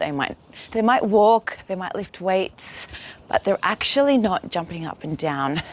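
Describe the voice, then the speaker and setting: In an Australian accent, the speaker talks at a fairly slow pace with very wide pitch swings. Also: woman. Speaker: yoga teacher. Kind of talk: guided exercise class.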